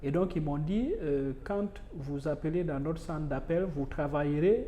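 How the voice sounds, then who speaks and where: A man with a Guinean accent talks at a moderate pace, his fairly high voice dark and mellow in tone. His pitch varies in an ordinary way, and the room echo is audible. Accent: Guinean accent, noticeable. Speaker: university lecturer. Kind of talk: interview conversation. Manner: hesitant with fillers.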